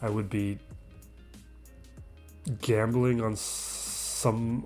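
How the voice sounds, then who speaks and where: With music in the background, a man talks using fairly even intonation. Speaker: gaming channel host. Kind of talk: gameplay commentary. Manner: casual, thinking aloud.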